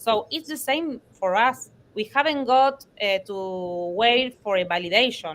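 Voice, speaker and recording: A woman with a non-native accent, a fairly high pitch and lively intonation at a fairly slow pace. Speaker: blockchain teacher and startup co-founder. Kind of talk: online panel discussion. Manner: halting, many hesitations.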